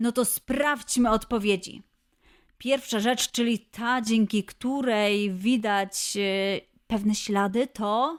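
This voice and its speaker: A woman's fairly high voice at a very slow pace and very even loudness, on a very clean recording with a silent background. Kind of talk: children's quiz show host. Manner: upbeat, playful.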